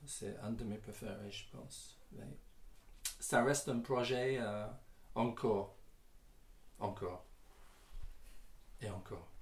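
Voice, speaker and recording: A man's medium-pitched, somewhat breathy voice at a very slow pace, with long, frequent pauses, ordinary pitch variation and audible room echo. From England, Northamptonshire. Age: 60s. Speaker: singer-songwriter and guitarist. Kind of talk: interview answers. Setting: garage. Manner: halting, many hesitations.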